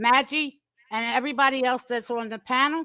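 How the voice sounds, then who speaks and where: A woman's raised, projected voice, bright and sharp, with an animated tone and ordinary pitch variation, on a very clean recording with a silent background. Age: 60s. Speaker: mother of a content creator on a live panel. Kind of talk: heated debate.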